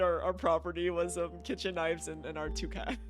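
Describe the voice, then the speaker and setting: Over noticeable background noise, the speaker talks very fast with an American accent. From US upper Midwest, Chicago and Wisconsin suburbs. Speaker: gaming streamer. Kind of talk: casual chat. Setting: live stream. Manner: halting, repetitive fillers.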